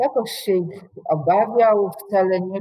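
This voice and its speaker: Against a quiet background, a woman talks at a medium pitch. Her pace is very slow. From Poland, Łódź; Poland. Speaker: university professor. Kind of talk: lecture. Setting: online video call. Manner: formal. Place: office. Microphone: webcam.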